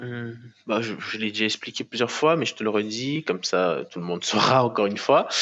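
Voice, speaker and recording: This man speaks at a medium pitch. His intonation is lively. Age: 20s. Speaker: professional bodybuilder; podcast guest. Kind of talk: casual interview. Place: home room. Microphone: headset.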